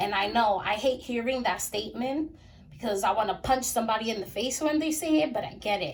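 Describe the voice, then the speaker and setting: A woman's fairly high, somewhat breathy voice, animated in tone, with lively intonation at a moderate pace. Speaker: tarot card reader. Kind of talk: tarot reading monologue. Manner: casual, animated.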